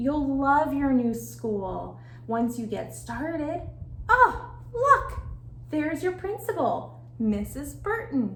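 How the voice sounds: A woman uses a put-on character voice, pitched high with big swings. She speaks slowly.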